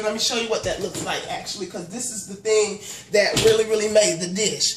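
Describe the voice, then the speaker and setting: A woman at a fairly quick pace with ordinary pitch variation, amid noticeable background noise. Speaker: home cook vlogger. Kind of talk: casual vlog chat. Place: kitchen. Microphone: phone near.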